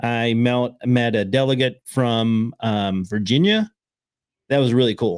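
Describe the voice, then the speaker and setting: Here a man speaks with an American accent. His medium pitch shows ordinary pitch variation. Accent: Southern US (redneck accent). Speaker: podcast host. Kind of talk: casual chat.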